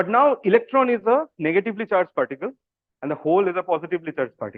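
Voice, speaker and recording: A man speaks with a Bengali accent. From India, Kolkata, West Bengal. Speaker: physics PhD student. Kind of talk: public science talk. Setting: video call. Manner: casual, hesitant with fillers.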